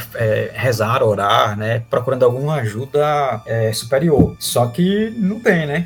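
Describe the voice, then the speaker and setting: Music in the background behind a man's medium-pitched voice, fairly slow in pace with hardly any pauses and very wide pitch swings. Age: 30s. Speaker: comic artist and illustrator. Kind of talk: casual interview chat.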